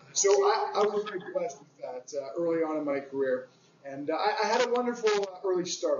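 The speaker has a Canadian accent, and noticeable background noise can be heard. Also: man. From Canada (Toronto). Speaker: youth fitness coach and association founder. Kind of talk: interview. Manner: halting, many fillers.

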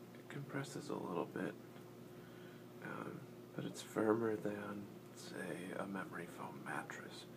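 The speaker whispers, leaving long, frequent pauses. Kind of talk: casual talk to camera while assembling a puzzle. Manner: soft-spoken, slow.

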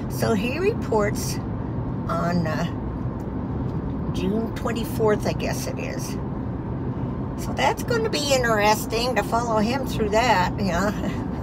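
Loud background noise fills the clip. The speech is very slow, with long, frequent pauses. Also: woman. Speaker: vlogger. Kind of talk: casual vlog chat. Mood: proud, cheerful. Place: car. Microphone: phone near.

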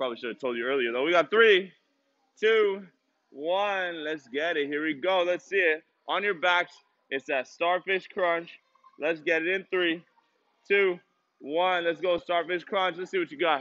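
A man's high-pitched voice at a moderate pace, with long, frequent pauses, ordinary pitch variation and a quiet background. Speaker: fitness instructor. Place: gym.

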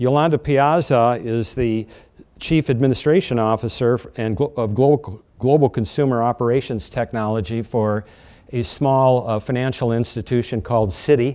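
A man talks with an American accent and a dark, mellow tone. His pitch variation is ordinary. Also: moderate pace. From US Midwest, North Dakota. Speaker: panel moderator. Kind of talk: moderated panel discussion. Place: meeting room. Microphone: lapel.

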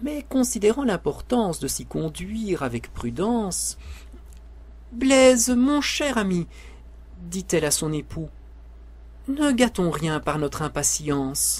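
A man speaks at a very slow pace. Long, frequent pauses break up his words. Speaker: storyteller reading a tale aloud. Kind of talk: dramatic narration of a verse tale, with character voices.

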